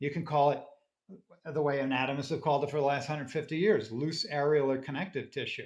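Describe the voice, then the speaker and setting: A man's somewhat breathy, fairly high voice against a quiet background. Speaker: anatomist. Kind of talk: interview conversation. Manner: fast.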